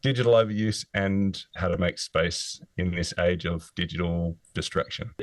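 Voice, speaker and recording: A man with an Australian accent talks at a very deep, low pitch with fairly even intonation and hardly any pauses, the sound dry and close with no echo. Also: moderate pace. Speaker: author, former physiotherapist. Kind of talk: interview.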